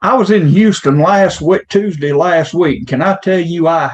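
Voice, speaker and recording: A man speaks in a Louisiana accent with a high pitch. His loudness stays very even, and his pitch varies in an ordinary way. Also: hardly any pauses. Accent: Southern (Louisiana) accent, noticeable. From Louisiana, US South. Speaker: insurance / financial advisor (attendee). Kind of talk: casual chat.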